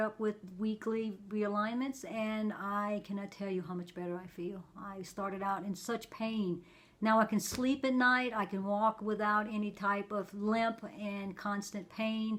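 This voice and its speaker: Using an ordinary speaking voice, a woman talks at a fairly slow pace and a fairly high pitch, with hardly any pauses. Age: 60s. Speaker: patient giving testimonial. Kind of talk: interview answer.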